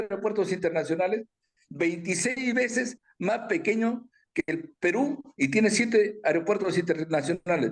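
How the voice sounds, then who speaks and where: Moderately paced speech from a man, high in pitch, with ordinary pitch movement. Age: 60s. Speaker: aviation businessman. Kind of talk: interview. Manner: animated.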